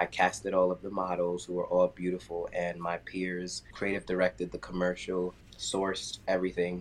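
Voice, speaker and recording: The speaker has a New York accent, talks at a moderate pace with hardly any pauses, and keeps a monotone, flat intonation. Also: man, very deep, low pitch for a man. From US, Queens, New York. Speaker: dancer and choreographer. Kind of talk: casual chat.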